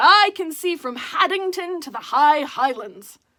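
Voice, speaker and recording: Using a put-on character voice, the speaker keeps a lively intonation at a moderate pace. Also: woman, extremely high pitch for a woman. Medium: read story. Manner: boastful, grand.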